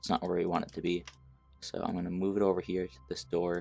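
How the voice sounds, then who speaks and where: A man with a very deep, low pitch talks very fast in a monotone, flat way. Music plays in the background. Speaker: game dev tutorial youtuber. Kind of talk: tutorial. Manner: halting, frequent fillers.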